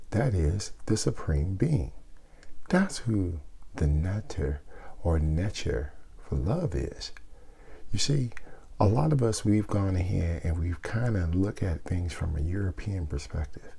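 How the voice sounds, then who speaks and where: A soft-spoken man with a very deep, low pitch, a dark, mellow tone and a somewhat breathy quality, lively in intonation at a fairly slow pace, with long, frequent pauses. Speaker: spiritual teacher. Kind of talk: casual teaching talk.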